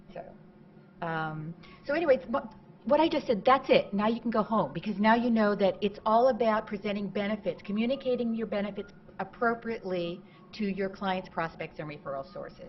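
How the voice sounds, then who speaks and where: With lively intonation and big swings in loudness, a woman speaks fairly quickly at a medium pitch. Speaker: marketing consultant, conference speaker. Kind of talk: conference talk.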